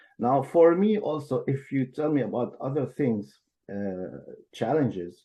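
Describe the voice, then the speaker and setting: The tone is dark and mellow, somewhat breathy, with lively intonation. The background stays quiet. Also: man. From Syria, Damascus. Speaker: translator and interpreter. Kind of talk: interview. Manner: halting.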